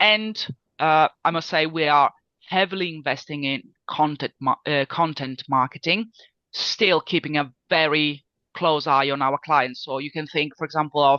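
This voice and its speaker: A woman with an Italian accent speaks at a fairly slow pace and a very deep, low pitch with ordinary pitch variation and a bright, sharp tone. The sound is dry and close with no echo, over a quiet background. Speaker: business guest, sales manager. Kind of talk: business interview. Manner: hesitant with fillers.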